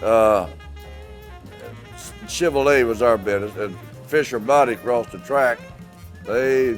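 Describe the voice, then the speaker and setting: A man talks at a medium pitch. Music can be heard behind him. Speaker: retired auto assembly plant worker. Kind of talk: interview answer.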